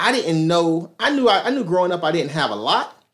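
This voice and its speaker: A man with an American accent talks in a high pitch with lively intonation, on a very clean recording with a silent background. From Miami, Florida. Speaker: elementary school principal. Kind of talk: casual interview. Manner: animated.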